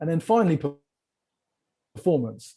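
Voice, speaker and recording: A man with an English accent speaks in a dark, mellow tone with lively intonation. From England. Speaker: sales community founder. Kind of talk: podcast interview. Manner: energetic.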